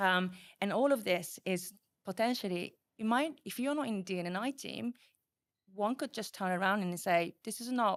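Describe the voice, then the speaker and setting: A woman's medium-pitched voice with ordinary pitch variation, a moderate pace and long, frequent pauses, on a very clean recording with a silent background. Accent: Japanese. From Japan. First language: Japanese. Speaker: program manager. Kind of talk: podcast interview.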